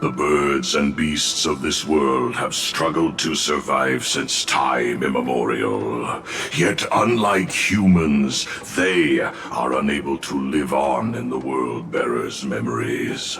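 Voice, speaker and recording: A man speaks in a put-on character voice. Background noise is clearly heard behind him. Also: fairly slow pace. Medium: machinima. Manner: solemn, grandiose.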